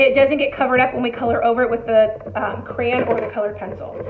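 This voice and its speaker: A woman's high-pitched voice with audible room echo and noticeable background noise. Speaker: elementary art teacher. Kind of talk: tutorial. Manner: animated.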